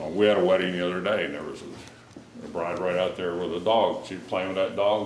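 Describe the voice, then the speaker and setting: A man with a very deep, low voice talks at a fairly quick pace amid audible room echo and noticeable background noise. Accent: American. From Utah, US. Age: 60s. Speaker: historic house tour guide. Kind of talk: guided tour talk.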